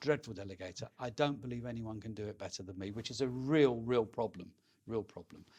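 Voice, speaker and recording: At a very fast pace, the voice shows ordinary pitch variation and big swings in loudness. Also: man. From London. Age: 60s. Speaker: estate agent. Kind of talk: interview. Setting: in person.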